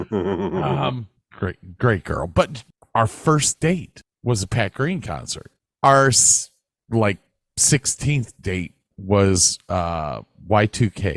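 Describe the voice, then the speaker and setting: An American-accented voice speaks at a very slow pace with very wide pitch swings. The recording is very clean with a silent background, and the sound is dry and close, with no echo. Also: man, fairly low pitch for a man. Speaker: podcast co-host. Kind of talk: casual chat.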